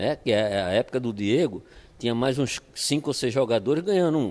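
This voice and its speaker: A man with a Pernambuco accent at medium pitch and moderate pace, lively intonation, on a very clean recording with a silent background. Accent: Pernambuco Brazilian Portuguese. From Brazil, Pernambuco (Olinda). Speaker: football coach. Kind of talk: interview. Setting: at home.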